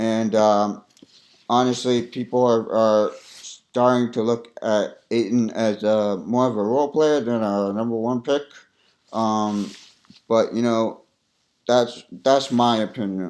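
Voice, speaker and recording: A man speaks at a very slow pace. His pitch sits in the medium range. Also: fairly even intonation. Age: 20s. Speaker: sports commentator. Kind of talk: casual commentary. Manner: hesitant, many fillers.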